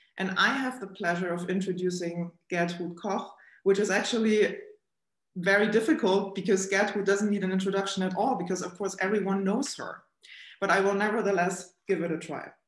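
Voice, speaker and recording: Against a quiet background, a woman speaks with fairly even intonation and audible room echo. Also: fairly quick pace. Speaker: event host. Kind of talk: formal introduction. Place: office. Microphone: webcam.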